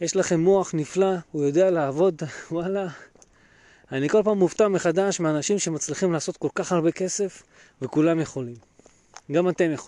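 A man's high-pitched voice, dark and mellow in tone, at a moderate pace with ordinary pitch variation and long, frequent pauses. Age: 30s. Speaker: financial planner and podcast host. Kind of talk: solo podcast talk.

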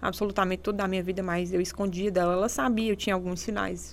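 A woman speaks at a very fast pace and a medium pitch, with vocal fry. Her intonation stays fairly even. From Brazil, interior of Ceará (Serra da Ibiapaba). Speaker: architect and influencer, domestic violence survivor. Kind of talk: interview testimony.

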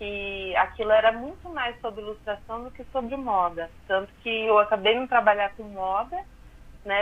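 Her loudness swings widely while a woman, with a normal speaking voice, talks in a medium pitch at a moderate pace with ordinary pitch variation. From southern Minas Gerais, Brazil. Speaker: fashion designer and social media illustrator. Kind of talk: radio interview.

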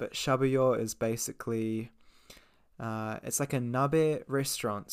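In a New Zealand accent, a man talks at a fairly slow pace with medium pitch and monotone, flat intonation, recorded very cleanly against a silent background. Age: 20s. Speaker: English teacher and podcast host. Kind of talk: casual monologue for English learners.

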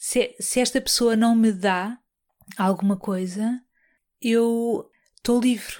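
Speaking at a very slow pace with long, frequent pauses, the voice carries a European Portuguese accent, fairly even intonation and very even loudness on a very clean recording with a silent background. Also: woman, fairly high pitch for a woman. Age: 40s. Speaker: podcast host. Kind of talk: personal monologue. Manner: halting, many fillers and repetitions.

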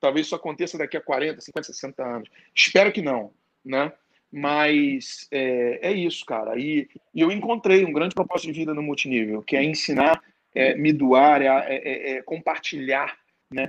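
A man with an unremarkable speaking voice talks fairly slowly at a fairly high pitch, with ordinary pitch variation. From Rio de Janeiro, Brazil. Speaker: network marketing entrepreneur. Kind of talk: interview.

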